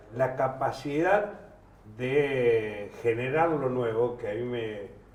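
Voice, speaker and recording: Over noticeable background noise and audible room echo, a man talks at a very slow pace in a medium pitch. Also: ordinary pitch variation. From Argentina, La Plata. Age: 70s. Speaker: political commentator. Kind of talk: panel discussion. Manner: halting.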